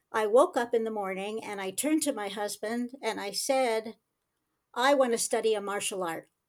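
A woman in an ordinary speaking voice talks at a moderate pace and fairly high pitch, recorded very cleanly with a silent background. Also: ordinary pitch variation. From United States. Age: 60s. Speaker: self-defense instructor. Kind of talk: casual chat.

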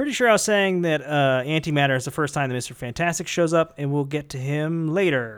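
This man talks at a very fast pace with a fairly high pitch and ordinary pitch variation. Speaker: music podcast host. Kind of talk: casual chat about music.

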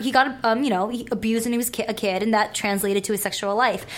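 A woman rattles along at a very fast pace, noticeable background noise behind her. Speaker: adult film performer. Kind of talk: casual chat. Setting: studio.

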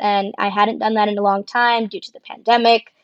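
A woman's plain, everyday voice with an American accent, fairly high in pitch and fairly quick, dry and close with no echo. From Arizona (Tucson). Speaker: podcast co-host, clinical research worker. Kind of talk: casual chat.

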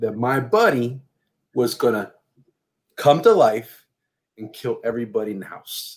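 Very wide pitch swings run through this man's speech. His pace is fairly slow. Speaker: podcast co-host guesting on another podcast. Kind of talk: casual chat. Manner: calm.

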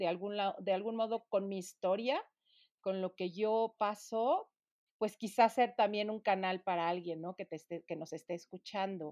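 A woman at medium pitch and a fairly slow pace with ordinary pitch variation, an unremarkable speaking voice, dry and close with no echo over a quiet background. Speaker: podcast co-host. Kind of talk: casual interview.

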